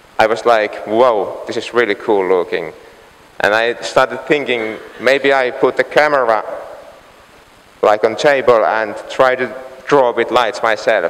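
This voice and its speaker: Through noticeable background noise, a man speaks at a fairly slow pace, with long, frequent pauses. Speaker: light painting artist. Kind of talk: conference talk. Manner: halting, many fillers.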